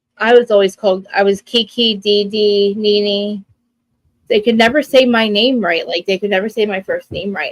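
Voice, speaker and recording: A woman talks with a New Jersey accent at a medium pitch. Her tone is animated. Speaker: live stream co-host, reality TV recapper. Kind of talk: casual chat. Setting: live stream.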